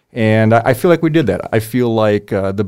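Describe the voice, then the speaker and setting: In an Upper Midwest accent, a man talks at a fairly quick pace on a very clean recording with a silent background. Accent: Upper Midwest American. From US Midwest, Wisconsin (Oshkosh). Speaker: lawyer and business owner. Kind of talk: interview. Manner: halting, many fillers.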